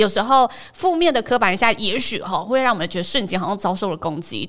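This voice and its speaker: Talking at a fairly quick pace, a woman with a Taiwanese accent has a fairly high pitch. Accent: Taiwanese Mandarin. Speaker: podcast host. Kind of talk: scripted narration.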